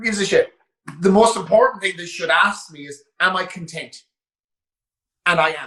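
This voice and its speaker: A man with an Irish accent speaks in a raised, projected voice, high in pitch and bright, sharp in tone. His pace is fairly quick with long, frequent pauses, big swings in loudness and fairly even intonation. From west of Ireland, Roscommon. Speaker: gym owner and online coach. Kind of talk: casual interview chat.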